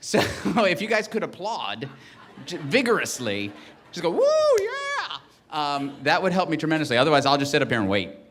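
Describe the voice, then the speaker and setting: Through audible room echo and noticeable background noise, a man speaks at a fairly quick pace in a fairly high voice, with very wide pitch swings and long, frequent pauses. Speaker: ceremony emcee. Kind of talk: ceremony presenting from teleprompter. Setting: stage with audience. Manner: fast; halting, many fillers.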